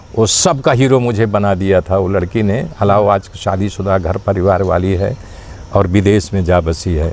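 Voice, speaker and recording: A man speaks here. His pitch is fairly low, with ordinary pitch variation. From Uttar Pradesh, India (Bhadohi). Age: 60s. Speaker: actor. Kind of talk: interview.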